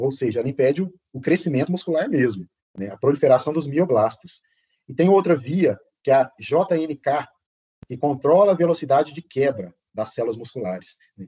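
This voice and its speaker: A man speaks with a fairly high pitch and lively intonation. His tone is dark and mellow, and somewhat breathy. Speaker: professor. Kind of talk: lecture. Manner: fast.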